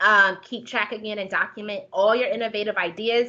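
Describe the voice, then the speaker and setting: A woman's fairly high-pitched voice with a bright, sharp tone. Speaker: homelessness services planner. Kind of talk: conference presentation. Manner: fast.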